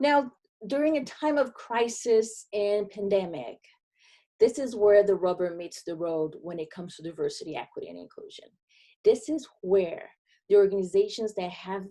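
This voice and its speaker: Her Brazilian accent comes through as a woman speaks with lively intonation. Her tone is dark and mellow, her pitch medium. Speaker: diversity and inclusion consultant. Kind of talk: webinar presentation.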